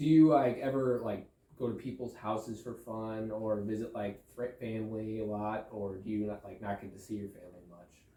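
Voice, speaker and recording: Fairly low male voice at a moderate pace with hardly any pauses, fairly even intonation, big swings in loudness and noticeable background noise. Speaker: podcast host. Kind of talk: casual interview questions.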